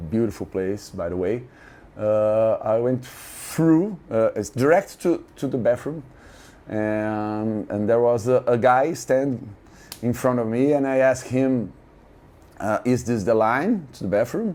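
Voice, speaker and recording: A man with a Brazilian Portuguese accent speaks at a fairly slow pace, his medium-pitched voice showing ordinary pitch variation. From Brazil (Santos). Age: 50s. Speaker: music fan. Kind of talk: interview storytelling. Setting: hotel room. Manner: halting, many fillers and repeats; animated.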